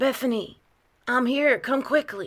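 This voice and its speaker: Using a put-on character voice, a woman speaks at a fairly slow pace with a high, shaky, raspy sound and fairly even intonation. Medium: read story. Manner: shaky, stammering.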